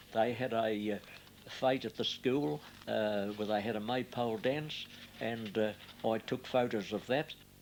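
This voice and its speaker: A man with an Australian accent, medium pitch, ordinary pitch variation, a fairly slow pace and long, frequent pauses. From Australia, Melbourne area. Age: 90s. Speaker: retired fruit grower. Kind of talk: oral history interview.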